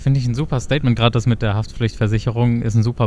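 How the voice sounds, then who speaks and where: A man with a medium pitch speaks very fast in a monotone, flat delivery. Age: 20s. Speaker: health economics student, podcast co-host. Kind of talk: casual chat and interview.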